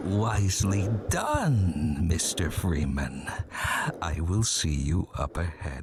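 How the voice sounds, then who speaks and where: A man puts on a character voice, very deep and low in pitch, with ordinary pitch variation at a very slow pace. Clear background noise runs behind him. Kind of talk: formal, polite. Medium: video game. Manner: slow, oddly measured phrasing with strange pauses.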